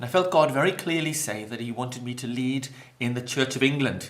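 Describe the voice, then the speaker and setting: A man of medium pitch talks at a fairly quick pace with a Welsh accent. Audible room echo and noticeable background noise are present. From Wales, Maesteg near Swansea. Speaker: pastor. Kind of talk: interview.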